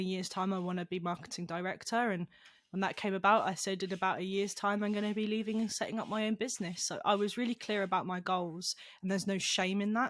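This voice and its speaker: A woman with a British accent talks very fast at a medium pitch in a flat, monotone delivery. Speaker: esports company founder and CEO. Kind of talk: podcast interview. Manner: halting, repeats words.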